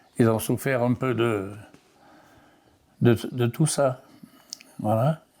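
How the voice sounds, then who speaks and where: A man speaks at a very slow pace with a medium pitch and a dark, mellow tone. His intonation stays fairly even. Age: 90s. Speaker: elderly interviewee, farmer's son. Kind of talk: oral history interview. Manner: halting, many repetitions and hesitations.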